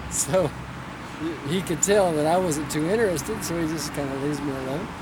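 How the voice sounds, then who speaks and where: With audible room echo and noticeable background noise, a man speaks at a fairly quick pace and a fairly high pitch, with ordinary pitch variation. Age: 60s. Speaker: pastor. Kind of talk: interview. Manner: casual storytelling.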